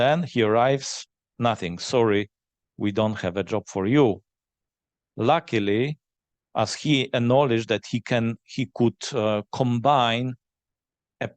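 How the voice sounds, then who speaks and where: Speaking at a very slow pace with a Polish accent, this man has a medium pitch and ordinary pitch variation. The sound is dry and close with no echo, against a quiet background. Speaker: forum moderator. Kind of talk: panel Q&A. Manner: halting.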